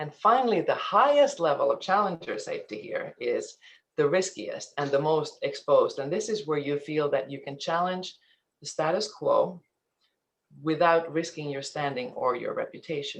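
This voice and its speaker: This voice moves at a moderate pace with a slight Finnish accent. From Finland, then eastern Canada from teens. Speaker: ethics and compliance presenter. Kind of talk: webinar presentation. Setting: online webinar.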